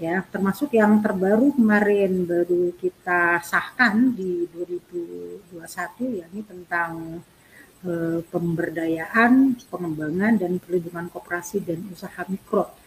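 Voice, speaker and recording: With a fairly low pitch and a somewhat breathy quality, a woman talks at a very slow pace with hardly any pauses and ordinary pitch variation. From Central Java (Tegal). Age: 50s. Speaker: local legislator. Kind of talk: expert interview on a talk show.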